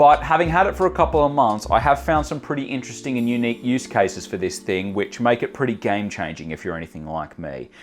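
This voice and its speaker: Talking at a very fast pace with hardly any pauses, a man with a medium pitch and vocal fry swings very widely in pitch. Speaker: tech reviewer. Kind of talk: product review. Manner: casual, upbeat.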